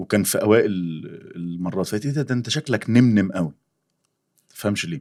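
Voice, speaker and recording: A man speaks at a fairly quick pace with a fairly low pitch. His pitch varies in an ordinary way, and he leaves long, frequent pauses. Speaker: worship singer and voice actor. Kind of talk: casual interview chat.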